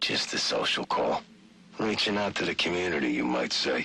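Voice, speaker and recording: A man does a raspy, put-on character voice at a fairly low pitch and a moderate pace, his loudness very even, with background noise clearly audible. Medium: video game. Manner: arrogant.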